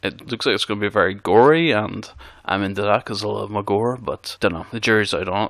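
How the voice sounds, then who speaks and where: A mumbling man with a Northern Irish accent, bright and sharp in tone, fairly low in pitch with ordinary pitch variation, at a very fast pace, on a very clean recording with a silent background. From Northern Ireland. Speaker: podcast host. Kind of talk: casual monologue.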